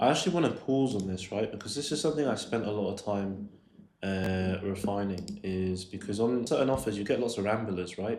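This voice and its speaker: A man's fairly low voice with a London accent, ordinary pitch variation and a fairly quick pace, plus audible room echo. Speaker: sales coach. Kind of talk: tutorial commentary on a recorded call. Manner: casual, with filler words.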